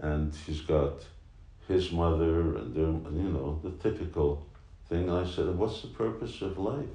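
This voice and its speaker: The voice moves at a fairly slow pace with ordinary pitch variation, and audible room echo surrounds it. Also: man, very deep, low pitch for a man. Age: 60s. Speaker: spiritual teacher. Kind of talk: casual chat.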